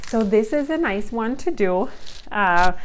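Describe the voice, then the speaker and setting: In a room with audible echo, a woman with a non-native accent speaks at a medium pitch with ordinary pitch variation. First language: not English. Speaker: homeschooling mom and video creator. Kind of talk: casual vlog review. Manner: hesitant, many fillers.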